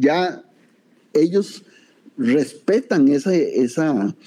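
A man's voice, dark and mellow in tone, makes very wide pitch swings. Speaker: martial arts master. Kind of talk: interview.

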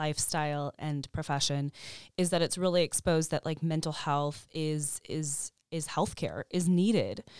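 A woman talks in a normal speaking voice, fairly low in pitch, at a moderate pace with fairly even intonation. The sound is dry and close with no echo, on a very clean recording with a silent background. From Chicago, US Midwest. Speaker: therapist and bodybuilder, podcast co-host. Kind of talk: casual interview chat. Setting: studio.

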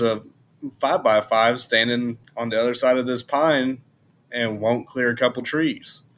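A man with an ordinary speaking voice talks with fairly even intonation. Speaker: hunter. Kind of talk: casual chat.

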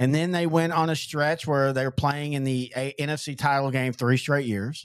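In a very clean recording with a silent background, a man with an American accent has an unremarkable speaking voice, fairly high in pitch, at a fairly quick pace with ordinary pitch variation. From Texas. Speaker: sports podcast host. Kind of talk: casual chat.

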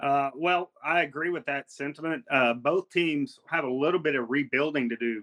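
Here is a man with an unremarkable speaking voice and a fairly high pitch. He keeps a moderate pace and ordinary pitch variation. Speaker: co-host, sports analyst.

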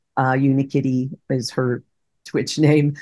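A woman at a very slow pace, with a dry, close sound and no echo. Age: 60s. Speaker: retired teacher and game streamer. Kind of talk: interview.

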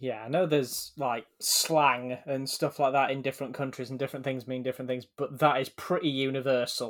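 A man with an English accent talks fairly quickly. His pitch is medium and his intonation fairly even. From England. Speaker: podcast co-host. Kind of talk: casual chat.

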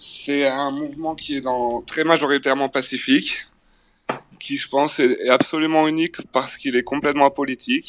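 A man's fairly high-pitched voice comes through monotone and flat, with a dry, close sound and no echo. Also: moderate pace. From France. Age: 40s. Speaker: record label manager. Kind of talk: remote interview.

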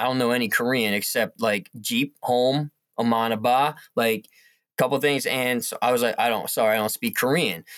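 Speaking at a medium speed, a man uses an unremarkable speaking voice. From US Northeast, northwest New Jersey. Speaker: educator. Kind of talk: casual interview.

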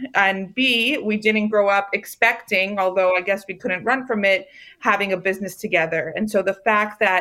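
Speaking at a moderate pace with an American accent, a woman uses a fairly high pitch and a bright, sharp tone. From Maryland, US. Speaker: food company founder. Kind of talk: interview.

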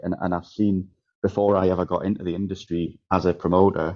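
A man with a Geordie accent speaks in a very deep, low pitch with fairly even intonation. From northern England, Newcastle. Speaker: DJ and event promoter. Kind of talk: casual interview chat.

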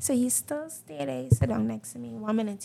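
A woman is speaking. Her pace is fairly quick. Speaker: guest. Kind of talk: casual chat.

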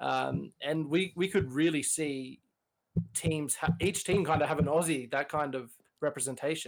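Speaking in an Australian accent, a man talks at a moderate pace. His pitch is fairly high with fairly even intonation. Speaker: podcast co-host guest. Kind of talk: casual podcast chat.

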